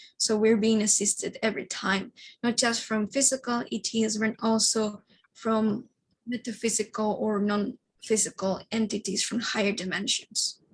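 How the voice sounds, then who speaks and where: A woman with a fairly high pitch and a somewhat breathy voice speaks in a monotone, flat intonation at a fairly slow pace. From Madrid, Spain. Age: 20s. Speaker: psychic medium, alien contact experiencer. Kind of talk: interview answer.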